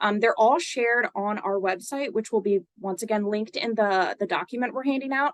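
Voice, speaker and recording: A woman speaks at a moderate pace in a fairly high pitch with ordinary pitch variation. The sound is dry and close, with no echo. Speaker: nonprofit webinar presenter. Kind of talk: webinar presentation. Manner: many filler words and hesitations.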